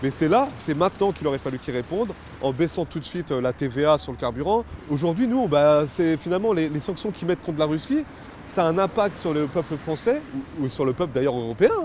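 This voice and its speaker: A man's fairly high pitch and lively intonation against noticeable background noise. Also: fairly quick pace. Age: 20s. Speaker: production worker and protest activist. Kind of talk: interview. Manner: hesitant, many fillers.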